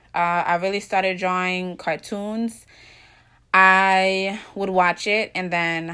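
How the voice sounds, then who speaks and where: On a very clean recording with a silent background, a woman with a slight Jamaican accent speaks very slowly in a medium-pitched, bright, sharp tone with monotone, flat intonation. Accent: slight Jamaican, some words said slower. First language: Jamaican Patois. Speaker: vlogger. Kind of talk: casual vlog monologue.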